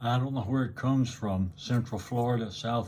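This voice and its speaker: A man speaks with fairly even intonation and a dark, mellow tone. His voice is somewhat breathy. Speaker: YouTuber. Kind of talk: casual monologue. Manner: slow.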